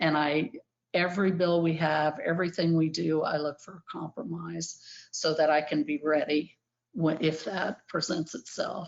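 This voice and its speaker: This woman has a normal speaking voice pitched fairly low. She keeps a moderate pace with fairly even intonation. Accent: American. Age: 60s. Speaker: animal welfare advocate. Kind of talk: conference talk. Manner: casual with frequent fillers.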